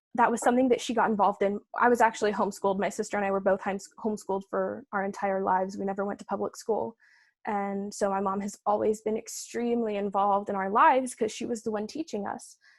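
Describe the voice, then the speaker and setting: Very fast, medium-pitched speech from a woman, with fairly even intonation and hardly any pauses, on a very clean recording with a silent background. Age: 20s. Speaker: opera singer. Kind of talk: interview.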